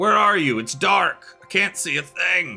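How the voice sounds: Faint music sits in the background as a man uses a put-on character voice. He talks at a fairly slow pace.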